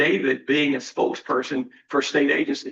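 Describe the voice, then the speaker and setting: A man speaks in a raised, projected voice with a Virginia accent. His tone is bright and sharp. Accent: Southern US (Virginia). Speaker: college president. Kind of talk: board meeting report. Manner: fast.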